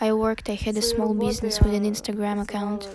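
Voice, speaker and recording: Fairly quick speech from a woman with a fairly high voice, noticeable noise behind her. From western Ukraine, Ivano-Frankivsk. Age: 30s. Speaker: war refugee. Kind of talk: testimony.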